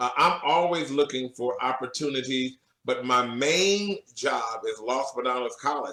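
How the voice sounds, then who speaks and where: With a plain, everyday voice, a man speaks at a medium pitch and a fairly slow pace, with ordinary pitch variation. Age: 50s. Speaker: professor and church musician. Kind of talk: interview. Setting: radio show.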